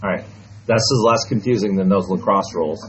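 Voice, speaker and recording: At a moderate pace, a man talks with a fairly low pitch and ordinary pitch variation. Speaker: math teacher. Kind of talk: classroom lesson. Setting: classroom with students.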